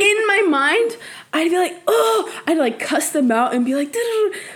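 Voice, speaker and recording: Over noticeable background noise, a woman talks at a moderate pace in an animated tone, her pitch swinging very widely. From US West Coast (East Side San Jose, California), Mexican family from Jalisco. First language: Spanish. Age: 20s. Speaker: podcast guest. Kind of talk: casual chat. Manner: animated, laughs often.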